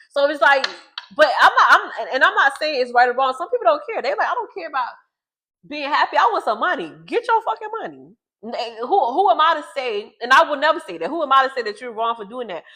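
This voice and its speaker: Raising and projecting her voice, a woman talks at a very fast pace with a high pitch, very wide pitch swings, big swings in loudness and a bright, sharp tone. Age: 30s. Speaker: vlogger. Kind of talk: casual monologue to camera. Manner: repetitive, stumbling restarts. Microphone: new microphone, unsure if working.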